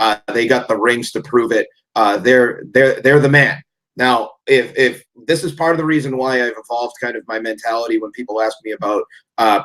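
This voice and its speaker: This man's medium pitch shows ordinary variation as he talks at a moderate pace. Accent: Boston. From Massachusetts, Boston area. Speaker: sports podcast guest. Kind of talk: casual chat.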